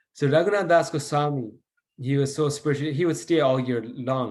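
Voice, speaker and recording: At a moderate pace, a man with a fairly high voice and ordinary pitch variation speaks in a room with audible echo. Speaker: devotional teacher. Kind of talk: lecture.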